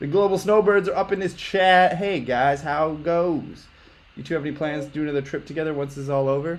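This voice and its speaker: A plain, everyday voice from a man with an American accent, fairly high-pitched, at a fairly quick pace with ordinary pitch variation. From US, Long Island, New York. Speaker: travel YouTuber, livestream host. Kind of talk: casual chat. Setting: livestream.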